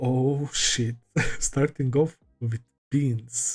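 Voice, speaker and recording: A man at a very slow pace, medium pitch, somewhat breathy, with fairly even intonation and a dry, close sound free of echo. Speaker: anime reaction youtuber. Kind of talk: casual reaction video. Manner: halting, many fillers.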